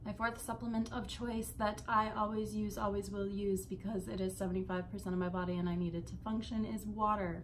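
A woman talks at a fairly quick pace with few pauses, her medium pitch showing little pitch movement.

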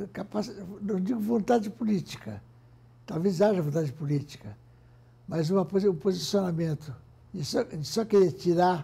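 A man with a high pitch and a dark, mellow tone talks at a moderate pace with lively intonation. He takes long, frequent pauses. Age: 80s+. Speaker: industrialist, former business federation president. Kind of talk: interview answer. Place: office. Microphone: lapel.

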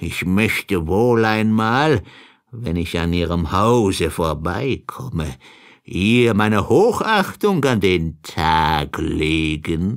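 In a put-on character voice, a man speaks at a very slow pace with a low pitch and lively intonation. The recording is very clean, with a silent background.

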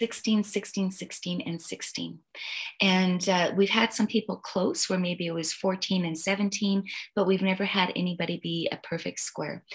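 A woman speaks at a fairly slow pace with fairly even intonation. Her voice is somewhat breathy, and the background is quiet. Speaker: personality and relationship coach. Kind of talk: coaching conversation.

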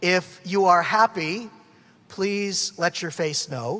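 Pitched high for a man, his voice moves at a very slow pace with ordinary pitch variation. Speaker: event announcer or host. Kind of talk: announcements to an audience. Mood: humorous, upbeat. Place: hall. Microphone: podium.

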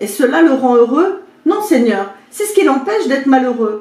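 A woman's high-pitched voice at a fairly slow pace, with very wide pitch swings and audible room echo. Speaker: video creator and spiritual coach. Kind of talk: fable storytelling, retelling a parable. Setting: home video, talking to camera. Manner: animated, dramatic, playing the king and servant; chatty, informal, with comic asides. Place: home room.

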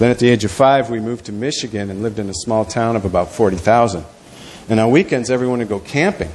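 With light background noise behind him, a man speaks very fast in an American accent, his pitch varying in an ordinary way. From US Midwest. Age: 50s. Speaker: pastor. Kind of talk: talk about ministry; sermon. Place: church.

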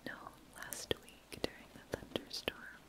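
A woman whispers. Her voice is soft-spoken. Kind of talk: soft intimate roleplay chat. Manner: soft sleepy near-whisper from bed. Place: home room. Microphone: phone near.

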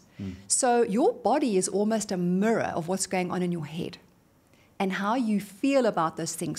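Somewhat breathy and energetic in tone, a woman with a South African accent speaks at a moderate pace. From South Africa, Johannesburg. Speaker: motivational speaker. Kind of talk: interview. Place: studio. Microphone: studio mic.

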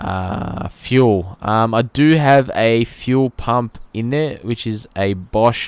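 A man with an Australian accent speaks at a medium pitch with ordinary pitch variation. His pace is very slow, yet there are hardly any pauses. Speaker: automotive YouTuber and car sound impersonator. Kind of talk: gameplay commentary vlog. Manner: casual, frequent filler words.

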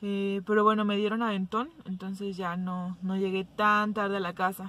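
The woman's voice comes through dry with no echo at a moderate pace. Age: 20s. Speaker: vlogger. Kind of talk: casual talk to camera. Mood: mildly impatient, chatty. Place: car. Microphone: phone near.

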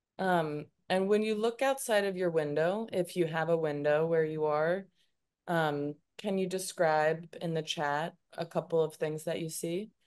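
A woman with an American accent at a fairly low pitch and fairly slow pace, with ordinary pitch variation over a quiet background. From United States. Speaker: arts organization staff, meetup moderator. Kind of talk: moderating an online group discussion. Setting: video call. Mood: warm, calm. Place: home room. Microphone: video call.

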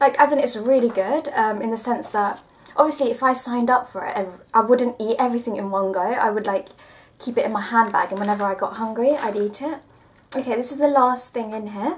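A woman talks at a fairly quick pace with ordinary pitch variation and big swings in loudness. Light background noise runs underneath. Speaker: vlogger. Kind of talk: casual vlog chat, product review. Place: home room. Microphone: camera far.

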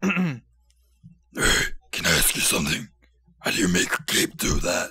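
A man doing a put-on character voice, raspy and fairly high-pitched, speaks at a moderate pace.

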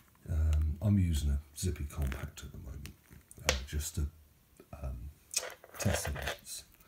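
Noticeable background noise sits under a fairly slow pace of speech. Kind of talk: casual vlog chat. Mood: relaxed, pleased. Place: home room. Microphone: phone near.

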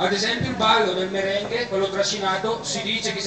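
The speaker has a strong Bergamo accent. Noticeable background noise and audible room echo fill the clip. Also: man. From Bergamo, Italy. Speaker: event host addressing guests. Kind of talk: speech to party guests. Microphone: camera far.

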